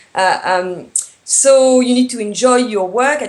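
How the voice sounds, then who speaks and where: A woman speaks at a moderate pace with a French accent and ordinary pitch variation, over noticeable background noise. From France. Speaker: tourism business consultant. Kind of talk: interview. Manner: hesitant, many fillers.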